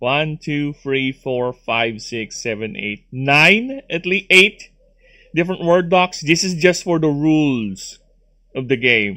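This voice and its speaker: This man speaks very slowly at a fairly high pitch. His tone is bright and sharp, with lively intonation. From Philippines. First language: Tagalog or another Philippine language. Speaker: gaming streamer. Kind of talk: casual chat. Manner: halting, many fillers.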